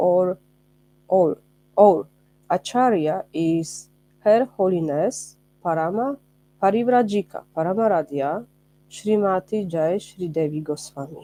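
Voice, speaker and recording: A woman speaks at a fairly slow pace with long, frequent pauses, her medium-pitched voice showing ordinary pitch variation and a dark, mellow tone. The sound is dry and close, with no echo. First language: not English. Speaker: spiritual teacher, ashram member. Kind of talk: religious lecture. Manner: halting, hesitant.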